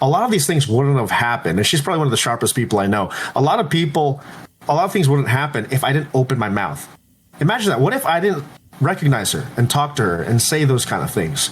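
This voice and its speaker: A loud man with an American accent talks at a very fast pace, his fairly high voice making very wide pitch swings. Vocal fry shows up in his speech. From Los Angeles, California. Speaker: entrepreneur and PR agency head. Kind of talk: podcast interview.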